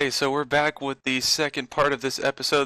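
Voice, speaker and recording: Here a man speaks with an American accent in a bright, sharp tone. The sound is dry and close with no echo, and the background is quiet. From Florida, US. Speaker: podcast host. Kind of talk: casual chat.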